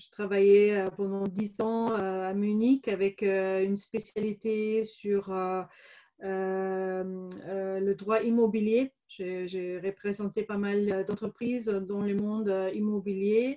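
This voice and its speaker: A woman with a slight German accent talks at a very slow pace in a medium, dark and mellow voice with flat, monotone intonation. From Germany, Bavaria (Regensburg). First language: German (speaking French). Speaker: business coach, former lawyer. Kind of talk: interview. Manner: hesitant, many fillers.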